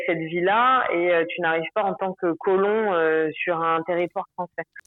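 A woman's fairly low voice, an ordinary speaking voice, at a fairly slow pace with ordinary pitch variation. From Paris, France. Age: 30s. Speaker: expatriate interviewee. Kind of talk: casual interview.

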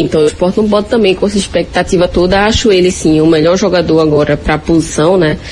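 A woman's fairly low-pitched voice over noticeable background noise. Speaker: football pundit. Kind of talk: sports discussion. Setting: at home in the kitchen. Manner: soft-spoken.

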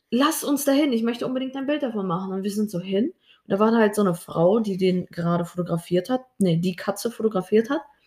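A woman talks at a very fast pace with lively intonation. Her voice is fairly high-pitched and somewhat breathy. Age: 20s. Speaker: podcast co-host, dancer and social media creator. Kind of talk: casual chat.

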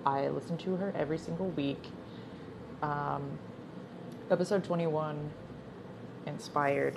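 Noticeable background noise sits behind a woman's very deep, low voice. She speaks at a fairly slow pace with fairly even intonation and long, frequent pauses. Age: 20s. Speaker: podcaster. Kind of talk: casual monologue. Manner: halting.

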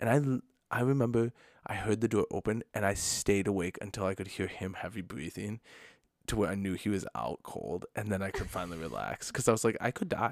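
With an Upper Midwest accent and vocal fry, a man speaks at a fairly quick pace in a fairly low pitch with ordinary pitch variation, recorded with a dry, close sound and no echo and a very clean, silent background. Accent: Upper Midwest American. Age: 30s. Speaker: podcast co-host, pastor. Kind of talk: casual chat.

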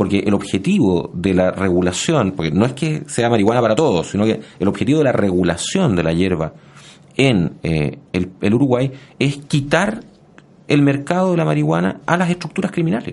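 A man with a medium-pitched voice speaks at a moderate pace, his pitch swinging very widely while his loudness stays very even. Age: 40s. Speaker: history professor. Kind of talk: interview. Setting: radio studio. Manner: halting, many repetitions and fillers.

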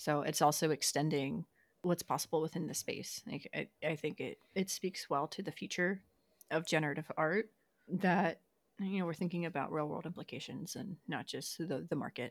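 At a moderate pace, a woman with a fairly low pitch and ordinary pitch variation speaks on a very clean recording with a silent background, the sound dry and close with no echo. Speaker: podcast co-host. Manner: out of breath while talking.

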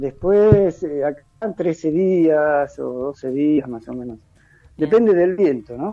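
A man's fairly high voice, very slow in pace, with lively intonation. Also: big swings in loudness. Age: 60s. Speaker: sailor. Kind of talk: interview.

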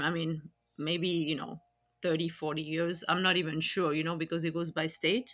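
Moderate-paced speech in a French accent. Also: woman. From France. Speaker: podcast host. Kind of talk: casual conversation podcast.

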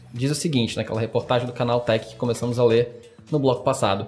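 A man at a very fast pace with noticeable background noise. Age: 20s. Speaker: podcast host. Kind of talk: casual chat. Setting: studio.

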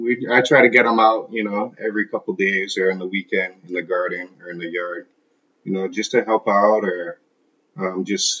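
This man has a fairly low pitch and speaks with a Hawaiian accent. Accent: Hawaiian local English. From Hawaii, Kailua on Oahu. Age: 30s. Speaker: landscaping business owner. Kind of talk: interview. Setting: at his home. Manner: casual, hesitant with fillers.

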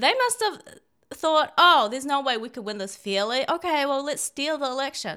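Using a raised, projected voice, a woman speaks at a moderate pace with a high pitch, very wide pitch swings and a bright, sharp tone. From China. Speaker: podcast co-host. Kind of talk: casual political chat.

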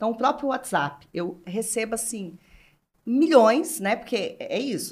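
Speaking at a fairly slow pace, a woman with a fairly high pitch uses a plain, everyday voice with lively intonation. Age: 40s. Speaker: brand executive. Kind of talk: casual chat.

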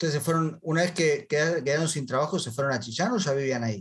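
Somewhat breathy and fairly high-pitched, a man talks at a very fast pace with lively intonation. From Argentina. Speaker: podcast host, franchise consultant. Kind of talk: interview. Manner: animated.

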